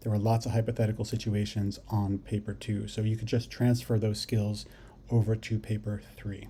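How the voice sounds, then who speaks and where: A man's fairly low, somewhat breathy voice with a dark, mellow tone and monotone, flat intonation. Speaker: psychology teacher. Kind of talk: lecture. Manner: fast.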